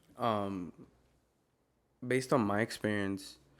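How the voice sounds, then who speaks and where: A man's fairly low voice in a Spanish accent, fairly slow and fairly even in intonation, in a very clean recording with a silent background. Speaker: podcast co-host. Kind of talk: casual chat. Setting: studio.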